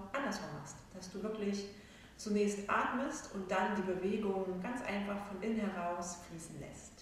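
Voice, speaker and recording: A woman's voice rises and falls sharply in loudness, with strong room echo and light background noise. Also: ordinary pitch variation. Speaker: yoga instructor. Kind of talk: calm class introduction. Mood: calm, soothing. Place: hall. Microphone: camera far.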